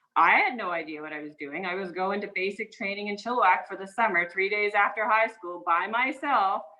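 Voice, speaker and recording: A woman speaks at a fairly quick pace with hardly any pauses, a medium pitch and ordinary pitch variation. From Newfoundland, Canada. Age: 40s. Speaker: military officer. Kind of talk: personal storytelling talk. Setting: video call.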